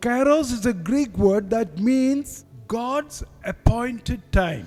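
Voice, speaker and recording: An extremely high-pitched male voice at a very slow pace with ordinary pitch variation and music in the background. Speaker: preacher. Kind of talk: sermon, preaching to a congregation. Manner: pausing for line-by-line translation.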